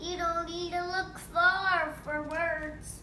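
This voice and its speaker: A woman puts on a character voice with an extremely high pitch and monotone, flat intonation. She goes at a very slow pace, and background noise is clearly audible. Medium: read story. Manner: calm, measured.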